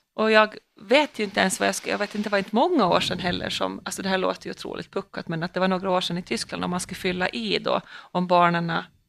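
A woman rattles off her words at a very fast pace on a very clean recording with a silent background. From Åland. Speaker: police officer and podcast co-host. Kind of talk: casual chat.

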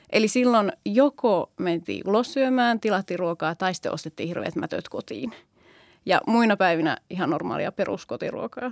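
With lively intonation and vocal fry, a woman at a medium pitch talks at a moderate pace in a very clean recording with a silent background, the sound dry and close with no echo. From Finland, Oulu. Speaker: primary school teacher. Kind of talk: casual chat.

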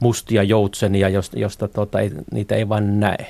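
In a very clean recording with a silent background, a man speaks at a fairly low pitch in a dark, mellow tone, with vocal fry and monotone, flat intonation. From Finland, Northern Ostrobothnia (Haapavesi). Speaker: economist. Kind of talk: interview. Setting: studio. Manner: halting, many filler words.

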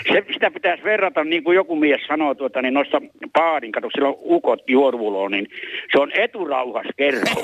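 A man with a fairly high voice speaks at a moderate pace with lively intonation. The sound is dry and close with no echo, though noticeable background noise is present. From Ostrobothnia, Finland. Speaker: caller. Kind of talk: phone-in call.

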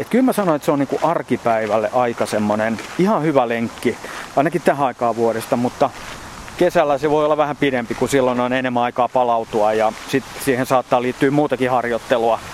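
The pitch rises and falls in an ordinary way at a fairly quick pace. Noticeable noise sits in the background. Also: man, medium pitch for a man. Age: 50s. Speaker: ultrarunner. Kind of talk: casual interview. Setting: outdoors in a park.

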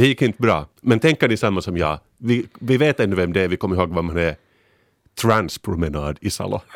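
Lively intonation at a fairly quick pace comes across dry and close with no echo, on a very clean recording with a silent background. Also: man, very deep, low pitch for a man. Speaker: podcast panelist. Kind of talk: casual chat. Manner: animated.

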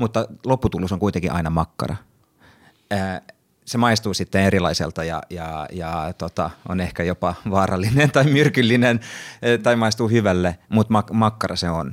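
A man with a Swedish accent talks at a moderate pace in a fairly low pitch with ordinary pitch variation on a very clean recording with a silent background. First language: Swedish (speaking Finnish). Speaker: actor and podcast moderator. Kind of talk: casual panel discussion. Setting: studio.

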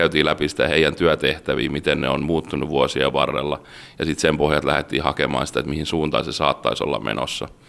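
A man talks very fast in a very deep, low voice with vocal fry and fairly even intonation. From Finland, Rauma. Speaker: maritime automation engineer. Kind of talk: interview.

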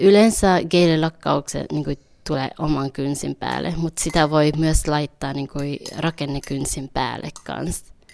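A woman with a Vietnamese accent speaks at a fairly slow pace. Her pitch is very deep and low, and her intonation stays fairly even. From Finland, Helsinki (Vietnamese family, arrived aged four). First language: Vietnamese (speaking Finnish). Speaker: beauty salon owner. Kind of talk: interview. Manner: hesitant, many fillers.

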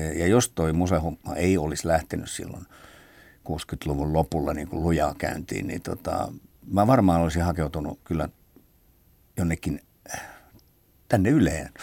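A man's very deep, low, dark and mellow voice at a fairly slow pace, with long, frequent pauses, on a very clean recording with a silent background. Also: ordinary pitch variation. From Helsinki, Finland. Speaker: drummer. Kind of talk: interview.

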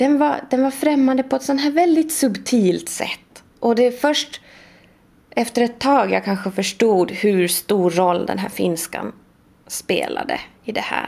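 At a fairly slow pace, a woman speaks in a high voice with very wide pitch swings. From Sweden. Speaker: literary researcher. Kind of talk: interview.

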